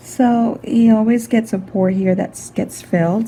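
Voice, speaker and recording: A woman is speaking. She is soft-spoken. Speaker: skin care practitioner. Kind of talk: narrated skin treatment.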